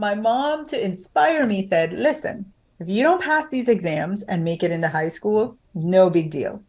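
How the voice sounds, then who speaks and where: Somewhat breathy, the voice moves at a fairly slow pace with very wide pitch swings. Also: woman, medium pitch for a woman. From Jamaica. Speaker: author and business coach. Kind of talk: interview.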